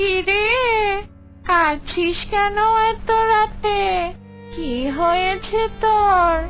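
In a cartoonish character voice of extremely high pitch, the speaker talks at a very slow pace while clear music plays in the background. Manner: brusque, teasing.

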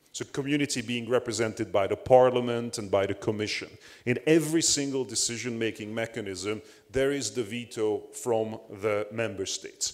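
This man has a Hungarian accent. His intonation stays fairly even. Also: moderate pace, quiet background. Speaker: panelist, academic; panelist. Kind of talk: conference panel talk. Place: hall. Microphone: handheld.

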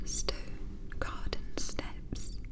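A woman whispers. Noticeable background noise is present. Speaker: hypnotherapist. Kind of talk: sleep hypnosis. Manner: whispered; soft-spoken, slow.

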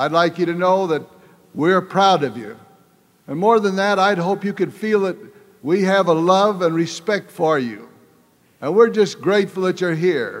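Against a quiet background, a man with a high pitch and ordinary pitch variation talks at a moderate pace, leaving long, frequent pauses. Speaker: church leader. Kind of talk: religious devotional speech. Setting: live audience. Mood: warm, earnest. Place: hall.

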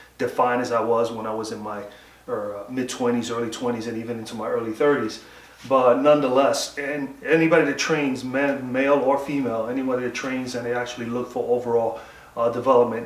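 A man talks at a fairly quick pace with fairly even intonation. Audible room echo surrounds his voice. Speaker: home fitness vlogger. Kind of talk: casual workout tutorial talk. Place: garage. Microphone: camera far.

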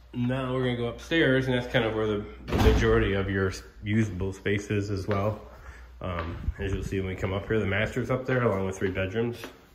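A man speaks at a fairly quick pace in a fairly low voice with ordinary pitch variation, over noticeable background noise. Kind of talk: casual walkthrough narration. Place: empty room. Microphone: phone near.

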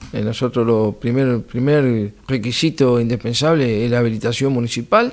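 Hardly pausing at all, a man keeps a moderate pace and fairly even intonation. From Argentina, Buenos Aires province. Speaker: municipal security director. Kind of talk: interview; interview answer. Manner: formal; halting. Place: studio. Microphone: studio mic.

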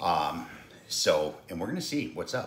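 Light background noise and audible room echo around a man's speech. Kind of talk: casual cooking vlog intro. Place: kitchen. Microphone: phone near.

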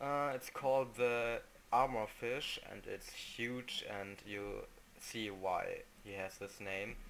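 Speaking with a non-native accent, a man keeps a medium pitch, a very slow pace and fairly even intonation. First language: non-native English speaker. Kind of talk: casual video game commentary.

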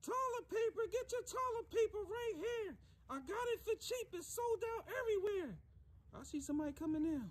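A cartoonish character voice. The pitch is extremely high. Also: moderate pace. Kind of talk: comedy sketch. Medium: puppet. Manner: streetwise slang, hustling.

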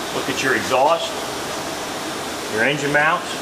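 A man's voice over noticeable background noise. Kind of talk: tutorial demonstration. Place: garage.

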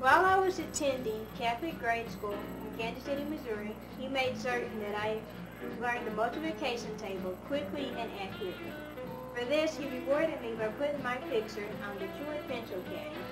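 A woman talking at a fairly quick pace over clear music in the background. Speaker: student promoting a product. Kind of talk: product promotion read. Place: home room. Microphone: old recording.

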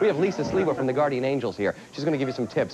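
A man speaks at a medium pitch. Noticeable background noise sits behind him. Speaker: TV talk show host. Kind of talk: talk show hosting. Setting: studio with audience. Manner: animated. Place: studio.

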